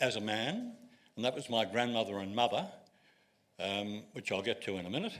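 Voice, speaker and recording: The speaker is a man with an Australian accent. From Australia (Sydney). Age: 80s+. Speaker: retired wine writer. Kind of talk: public talk.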